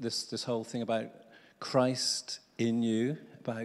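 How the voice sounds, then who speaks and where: A man is talking here. He keeps to a fairly slow pace. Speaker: preacher. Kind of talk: sermon. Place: church. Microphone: handheld.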